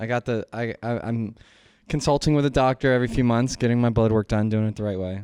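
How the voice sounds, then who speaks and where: A man's medium-pitched voice with a dark, mellow tone and fairly even intonation, at a very fast pace, in a dry, close recording with no echo, very clean with a silent background. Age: 30s. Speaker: podcast co-host. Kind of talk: casual chat.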